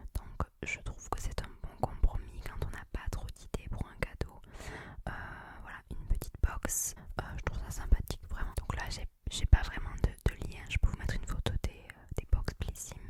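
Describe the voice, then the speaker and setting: Whispering at a moderate pace, a woman shows big swings in loudness over noticeable background noise. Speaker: ASMR content creator. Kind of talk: ASMR whispered gift-ideas talk to camera. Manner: whispered, soft, relaxing.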